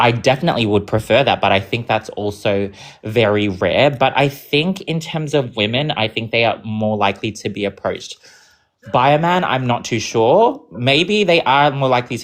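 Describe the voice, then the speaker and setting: With lively intonation, a man speaks at a medium pitch and a moderate pace. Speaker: debate participant. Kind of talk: live online debate.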